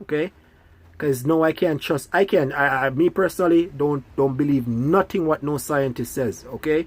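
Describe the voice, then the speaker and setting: The speaker has a Jamaican accent on a very clean recording with a silent background. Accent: Jamaican English with patois features. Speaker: school bus driver and video blogger. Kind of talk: casual monologue. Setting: sitting in a parked school bus.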